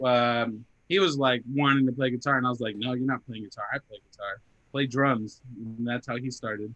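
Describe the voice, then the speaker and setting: A man with an American accent, medium in pitch, bright and sharp in tone, fairly even in intonation, with big swings in loudness. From Arizona. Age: 20s. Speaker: metal band guitarist. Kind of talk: casual interview chat. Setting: podcast interview.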